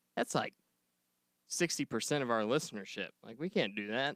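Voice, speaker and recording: This is an ordinary speaking voice with lively intonation and a fairly quick pace. The sound is dry and close, with no echo. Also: man. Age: 20s. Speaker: podcast co-host. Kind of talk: casual chat. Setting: studio.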